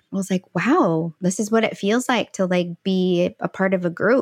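A woman speaks in a plain, everyday voice with an American accent at a medium pitch. Her pace is moderate, her pitch variation ordinary, and the background quiet. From St. Louis, Missouri. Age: 40s. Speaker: empowerment coach. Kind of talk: interview conversation.

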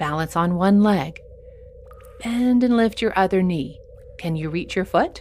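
Through noticeable background noise, a woman with a medium pitch speaks in a gentle, enthusiastic tone with lively intonation. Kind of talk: guided kids' yoga session with playful superhero storytelling. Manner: warm, upbeat and encouraging, with pauses for movement and playful exclamations; slow, clear, gentle pacing with enthusiastic sound effects.

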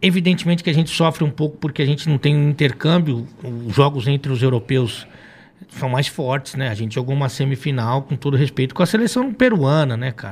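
A man's fairly high, somewhat breathy voice at a fairly quick pace, with ordinary pitch variation. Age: 40s. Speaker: football commentator and former futsal coach. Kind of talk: casual chat.

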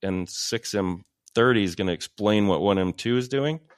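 A man with an American accent and a plain, everyday voice talks at a moderate pace with fairly even intonation, the sound dry and close with no echo on a very clean recording with a silent background. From Texas, Paris (small town). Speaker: film and TV composer. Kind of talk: casual interview.

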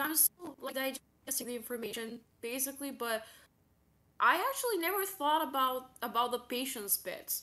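A woman talks in a raised, projected voice at a high pitch. Her tone is bright and sharp, and her pace is moderate. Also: ordinary pitch variation. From Eastern Europe, small town. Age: 20s. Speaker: stream guest seeking advice. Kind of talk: personal conversation about struggles. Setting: online stream call. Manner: halting, many fillers and repeats.

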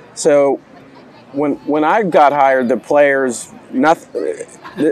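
A man with a fairly high, gravelly voice speaks at a very slow pace with ordinary pitch variation.

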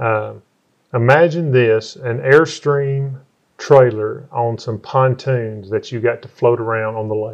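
With a Southern US accent, a man speaks at a medium pitch. His pace is very slow, and his pitch varies in an ordinary way. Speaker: podcast host. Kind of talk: casual chat.

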